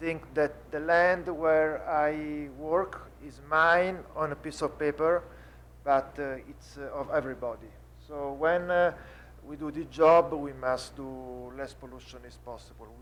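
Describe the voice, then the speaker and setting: A man talks at a very slow pace in an Italian accent. His loudness swings widely. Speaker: winemaker. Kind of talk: panel seminar. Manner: halting.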